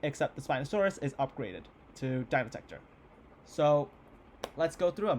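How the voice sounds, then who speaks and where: A man speaks in an energetic tone at a fairly high pitch. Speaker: YouTuber hosting a game tournament. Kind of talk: casual video commentary. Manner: fast; casual, energetic.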